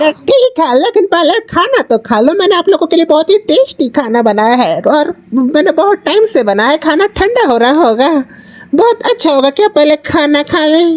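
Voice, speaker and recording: A put-on character voice pitched high. It runs on with hardly any pauses. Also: moderate pace. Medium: read story.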